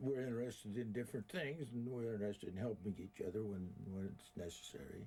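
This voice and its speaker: Speaking at a very fast pace, a man uses a medium pitch with a dark, mellow tone and ordinary pitch variation. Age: 80s+. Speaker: magician. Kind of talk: interview.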